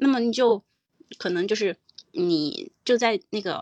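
Over a quiet background, a woman with a fairly high pitch makes very wide pitch swings in a dry, close sound with no echo. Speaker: parenting podcast host. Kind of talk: casual discussion.

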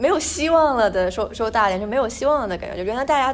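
Over noticeable background noise, a woman speaks at a very fast pace in a high pitch, her voice swinging very widely up and down. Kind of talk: casual chat.

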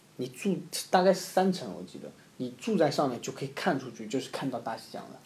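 At a fairly quick pace, a somewhat breathy man talks at medium pitch, with very wide pitch swings and big swings in loudness. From Zhoushan, Zhejiang, China. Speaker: former overseas student. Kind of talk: casual chat.

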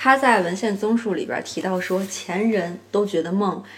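Noticeable background noise sits behind a woman speaking. She goes at a moderate pace with ordinary pitch variation. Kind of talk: book review monologue. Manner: casual with many fillers.

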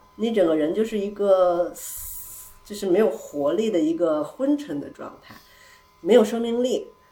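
There is noticeable background noise and audible room echo around a woman with a medium-pitched voice. She speaks at a moderate pace with lively intonation. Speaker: returning guest, host of the gathering at her home. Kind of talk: casual chat. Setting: living room at her home, echoey.

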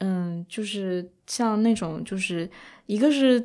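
Lively intonation carries a dark, mellow tone on a very clean recording with a silent background. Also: woman. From China. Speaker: podcast co-host. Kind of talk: casual chat.

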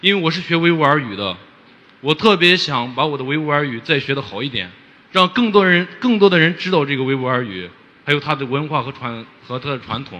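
This man's voice is fairly high and makes very wide pitch swings. He talks at a fairly quick pace. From Xinjiang, Hotan. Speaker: rural teacher. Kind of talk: audience question. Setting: stage with audience. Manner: halting.

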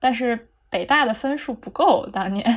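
A woman with a normal speaking voice talks at a fairly high pitch. Her pitch variation is ordinary. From Beijing, China. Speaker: psychology graduate. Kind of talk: casual chat.

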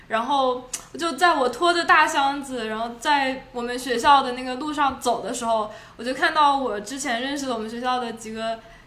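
A woman with a high pitch speaks at a moderate pace with ordinary pitch variation and big swings in loudness, and audible room echo surrounds her voice. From Shenzhen, China. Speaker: former international student. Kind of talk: casual chat.

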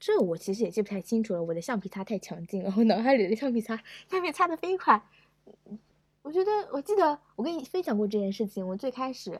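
A woman's somewhat breathy voice at a very fast pace with very wide pitch swings. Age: 20s. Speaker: podcast guest. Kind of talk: casual chat.

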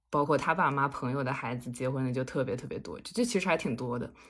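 A woman speaks with very wide pitch swings. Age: 20s. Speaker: podcast guest. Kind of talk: casual chat.

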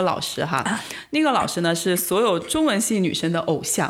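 Here a woman speaks at a fairly quick pace. Her tone is animated. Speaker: postdoctoral researcher. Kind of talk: casual chat.

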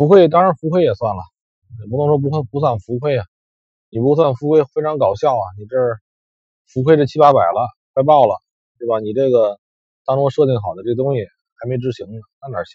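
With a medium pitch and ordinary pitch variation, a man sounds somewhat breathy, with big swings in loudness and long, frequent pauses. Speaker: forex trader vlogger. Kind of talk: casual monologue. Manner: halting, many fillers.

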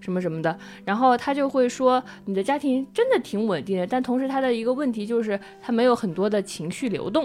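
This woman has a fairly high pitch and lively intonation at a fairly quick pace. Music plays in the background. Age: 20s. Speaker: podcast host. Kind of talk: casual chat.

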